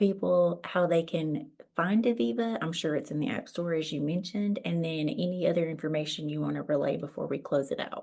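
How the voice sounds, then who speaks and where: Speaking at a fairly quick pace with hardly any pauses, a woman with a Southern US accent uses lively intonation in a fairly low-pitched voice with a dark, mellow tone. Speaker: podcast host. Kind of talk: podcast interview. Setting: audio-only podcast.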